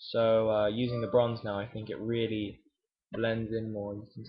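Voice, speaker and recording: Here a man with an English accent speaks at medium pitch and a moderate pace, somewhat breathy. His intonation is monotone and flat. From England. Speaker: miniature painting hobbyist vlogger. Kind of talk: casual video update and painting tutorial. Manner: hesitant, many fillers.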